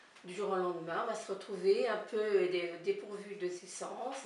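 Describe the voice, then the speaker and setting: A woman speaks at a very slow pace in a medium pitch, her loudness swinging widely. Noticeable background noise and audible room echo fill the recording. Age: 60s. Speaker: volunteer visiting elderly people. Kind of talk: interview. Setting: filmed interview with director behind camera. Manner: halting.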